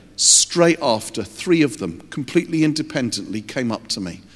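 Vocal fry from a man at a fairly high pitch, with very wide pitch swings, on a very clean recording with a silent background. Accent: English. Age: 50s. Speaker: youth ministry leader. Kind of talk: sermon.

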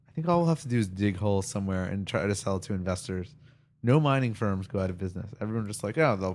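A man's fairly low voice in a Long Island accent, deadpan in tone, at a very fast pace. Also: quiet background. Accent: Long Island New York. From Long Island, US. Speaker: podcast co-host. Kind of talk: casual banter chat. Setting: home recording with two microphones. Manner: joking, bantering, deadpan.

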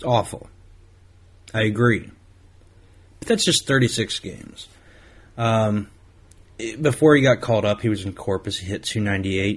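At a fairly slow pace, a man with an American accent talks in a somewhat breathy voice. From Ohio, US Midwest. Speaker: sports podcast host. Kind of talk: solo podcast monologue. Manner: halting, with many repetitions.

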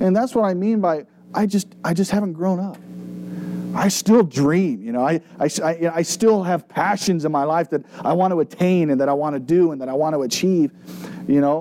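Noticeable background noise runs under the speech. The pace is moderate and the pitch varies in an ordinary way. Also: man, high pitch for a man. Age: 30s. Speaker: pastor. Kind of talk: Bible study teaching. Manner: casual.

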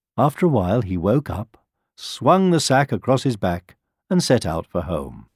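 Someone uses a natural reading voice, and the background remains quiet.

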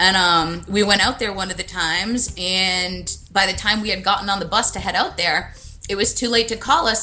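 With music in the background, a woman with an American accent speaks at a fairly quick pace and ordinary pitch variation. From USA. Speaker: travel blogger and photographer. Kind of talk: interview. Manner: hesitant, many fillers.

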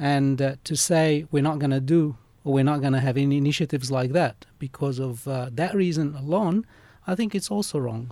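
At a fairly quick pace, a dark, mellow tone carries ordinary pitch variation over a very clean recording with a silent background. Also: man, fairly high pitch for a man. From Lebanese background, Australia. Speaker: master's student and organization secretary. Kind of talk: radio interview. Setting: radio studio.

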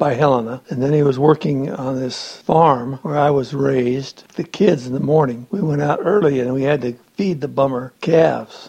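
With an American accent and a dark, mellow tone, the speaker keeps a moderate pace with ordinary pitch variation and hardly any pauses. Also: man, fairly high pitch for a man. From Montana, US. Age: 60s. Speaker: retired farm-raised family elder. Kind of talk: family oral history interview.

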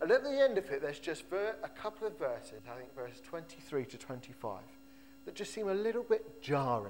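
Over noticeable background noise, a man with a high pitch makes very wide pitch swings and big swings in loudness. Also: moderate pace. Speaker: pastor. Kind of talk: sermon. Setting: church. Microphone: echo.

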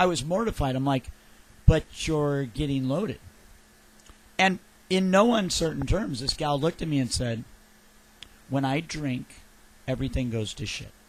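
A man with a fairly high pitch speaks at a moderate pace, his intonation lively. His voice is somewhat breathy, broken by long, frequent pauses. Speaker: radio host. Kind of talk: casual chat. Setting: studio.

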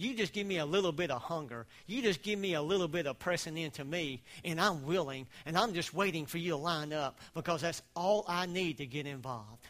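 With a Southern US accent, a man with a fairly high pitch talks at a fairly quick pace in an animated tone, with ordinary pitch variation. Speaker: preacher. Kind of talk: sermon. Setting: church. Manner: animated, preacher-style, exhorting the congregation.

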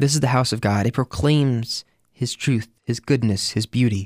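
On a very clean recording with a silent background, a man in a plain, everyday voice speaks at a moderate pace and medium pitch with ordinary pitch variation, the sound dry and close with no echo. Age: 20s. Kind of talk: scripture reflection monologue.

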